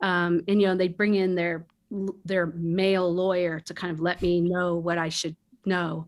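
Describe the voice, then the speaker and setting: A woman talks at a moderate pace in a fairly low voice, her intonation flat and monotone, on a very clean recording with a silent background. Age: 60s. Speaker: film producer and studio founder. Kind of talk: interview conversation.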